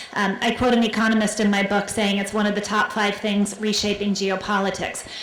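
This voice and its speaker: A woman speaks in a medium pitch with monotone, flat intonation and very even loudness. Noticeable background noise runs underneath. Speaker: keynote speaker, business journalist. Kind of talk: keynote speech. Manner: fast; halting, repeats words.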